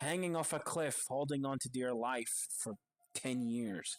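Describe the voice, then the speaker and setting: Medium pitch and ordinary pitch variation from a man, on a very clean recording with a silent background. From outside the US. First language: not English. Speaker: video essayist. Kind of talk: scripted narration.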